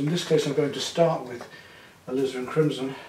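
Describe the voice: A man's voice carries with audible echo from the room.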